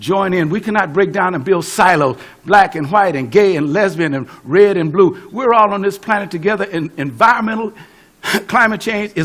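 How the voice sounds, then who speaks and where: A man with an American accent speaks at a moderate pace and high pitch, in an animated tone with ordinary pitch variation. Noticeable background noise runs underneath. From US West (California). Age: 70s. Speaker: pastor and civil rights activist. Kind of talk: speech.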